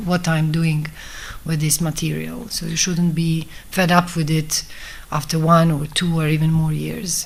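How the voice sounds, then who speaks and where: A woman's fairly low voice in a Bosnian accent, with noticeable background noise. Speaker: film director. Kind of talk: talk at a festival masterclass. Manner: halting.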